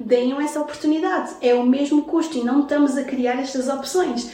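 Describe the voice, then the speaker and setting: A woman with a high pitch and ordinary pitch variation speaks at a moderate pace, with noticeable background noise and audible room echo. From Brazil, moved to Portugal at 7. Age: 30s. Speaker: entrepreneur, founder of a motherhood and career initiative. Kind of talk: casual interview chat.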